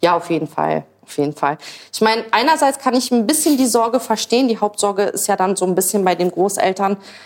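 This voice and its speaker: Using a normal speaking voice, a woman speaks at a fairly quick pace with lively intonation. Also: medium pitch for a woman. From Berlin, Germany. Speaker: social media creator, mother. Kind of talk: casual chat while cooking.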